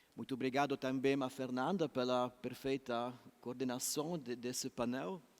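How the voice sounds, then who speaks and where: Fairly even intonation marks the speech of a man with a non-native accent. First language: not Portuguese (speaking Portuguese). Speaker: law professor. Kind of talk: conference talk.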